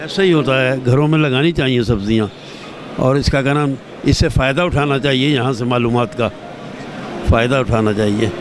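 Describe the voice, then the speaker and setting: Noticeable background noise sits behind a man's voice. His pitch is medium, with ordinary variation. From Lahore, Pakistan. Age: old. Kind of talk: interview answer.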